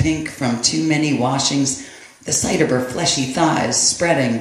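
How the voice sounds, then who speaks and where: A man with a fairly high pitch talks in a fairly even intonation over noticeable background noise. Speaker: poet. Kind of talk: poetry reading.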